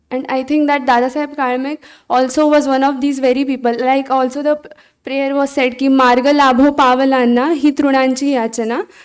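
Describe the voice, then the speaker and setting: A woman speaks in a Marathi accent at a high pitch. Her intonation is monotone and flat, and her pace is moderate. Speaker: college staff member. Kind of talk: speech.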